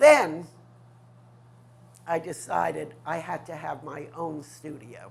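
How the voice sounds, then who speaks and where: Very slowly and with long, frequent pauses, a woman with a New York accent speaks in a very deep, low pitch marked by vocal fry. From New York City, Manhattan west side. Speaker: artist. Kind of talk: interview, life story.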